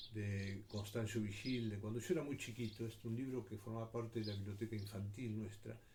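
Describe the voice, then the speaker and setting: Fairly even intonation runs through an ordinary speaking voice delivered at a fairly quick pace with hardly any pauses. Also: man, fairly low pitch for a man. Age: 60s. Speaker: commentator. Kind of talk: personal reflection monologue.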